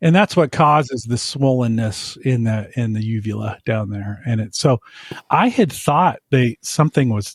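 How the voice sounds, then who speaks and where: A somewhat breathy male voice at medium pitch, with ordinary pitch variation, a moderate pace, and a dry, close sound with no echo. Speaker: podcast co-host. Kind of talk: casual chat. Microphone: echo early on.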